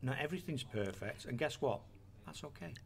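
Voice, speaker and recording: Somewhat breathy speech in an English accent moves at a fairly quick pace. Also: man. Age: 50s. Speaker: radio host. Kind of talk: casual chat.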